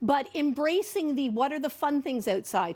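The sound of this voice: A woman at a high pitch and moderate pace, with lively intonation and a slightly mellow tone.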